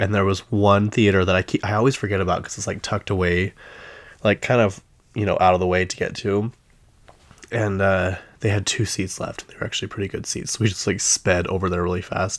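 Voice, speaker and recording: A fairly quick delivery with a Utah accent and a monotone, flat intonation. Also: man, fairly low pitch for a man. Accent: Utah-tinged American English. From US West (Utah). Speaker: pop culture podcast host. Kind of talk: casual solo commentary. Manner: chatty, filler-heavy.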